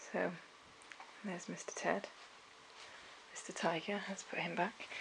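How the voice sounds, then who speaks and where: Noticeable background noise sits behind a woman speaking. She talks at a moderate pace in a British accent. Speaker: family vlogger. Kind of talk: casual vlog. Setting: at home.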